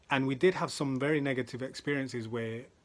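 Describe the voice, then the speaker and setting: A man with a London accent talks at a moderate pace and medium pitch. The recording is very clean, with a silent background. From South London. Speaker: motivational speaker. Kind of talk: motivational talk.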